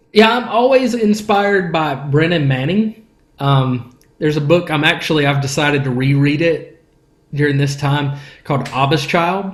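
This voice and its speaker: In a room with audible echo, a man with a fairly high pitch speaks at a moderate pace, somewhat breathy and with lively intonation. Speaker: worship leader. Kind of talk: podcast interview. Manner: casual, conversational.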